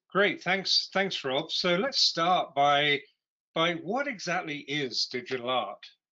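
Speaking at a very slow pace over a quiet background, a man uses a high pitch with very wide pitch swings. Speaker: podcast host. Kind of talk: interview. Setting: video call. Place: home room. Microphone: video call.

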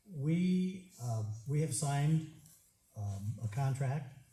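A man with a dark, mellow tone sounds somewhat breathy amid audible room echo. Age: 70s. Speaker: resident speaking at public hearing. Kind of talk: public comment at hearing. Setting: township public hearing.

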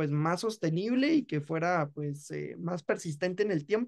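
Over a quiet background, a man with a Guatemalan accent talks at a fairly slow pace with lively intonation. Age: 20s. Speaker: law student and podcast creator; podcast creator. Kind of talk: interview. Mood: relaxed, friendly. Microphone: video call.

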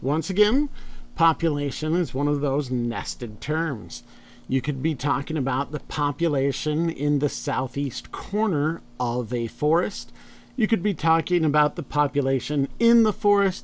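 Fairly slow in pace, a man's speech carries lively intonation. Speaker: college biology instructor. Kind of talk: lecture. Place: home room.

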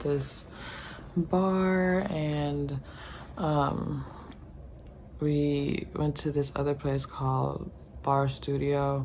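A woman talks at a very deep, low pitch while noticeable background noise runs underneath. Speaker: travel vlogger. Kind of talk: casual vlog chat. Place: home room. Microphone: phone near.

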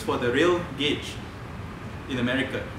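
A man's voice at a moderate pace, with audible room echo and noticeable background noise. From Malaysia. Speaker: public speaker at a forum; public speaker. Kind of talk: public talk. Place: hall. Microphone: podium.

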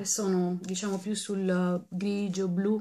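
A woman speaks very slowly over loud background noise. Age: 40s. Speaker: beauty vlogger. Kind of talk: casual vlog. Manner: animated. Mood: cheerful, birthday thanks. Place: home room. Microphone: webcam.

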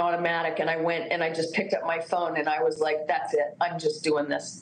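A woman's fairly low pitch at a moderate pace, with audible room echo and light background noise. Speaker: former beauty pageant contestant. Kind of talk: TV interview, personal testimony. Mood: emotional, tearful recounting. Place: home room. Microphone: video call.

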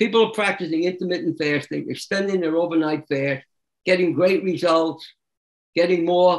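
A high-pitched man at a moderate pace, fairly even intonation, quiet background. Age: 80s+. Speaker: raw food diet expert; interview guest. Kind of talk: interview. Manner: conversational, frequent filler phrases. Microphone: video call.

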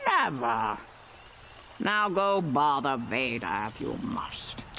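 Through clear background noise, a man at a medium pitch does a croaky, put-on character voice at a very slow pace. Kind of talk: dismissive. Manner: exasperated, croaking.

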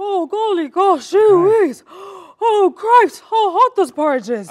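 The put-on character voice is extremely high-pitched and delivered at a fairly slow pace. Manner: panting, huffing and puffing.

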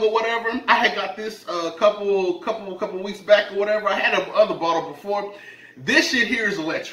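A man's raised, projected voice at a moderate pace, with ordinary pitch variation and audible room echo. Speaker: mukbang vlogger. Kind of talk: casual vlog chat. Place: kitchen.

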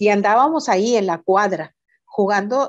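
A woman's voice moves at a fairly slow pace, its pitch varying in an ordinary way, with a quiet background behind it. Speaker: reading mediator. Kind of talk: casual interview. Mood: warm nostalgic storytelling. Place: home room. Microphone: video call.

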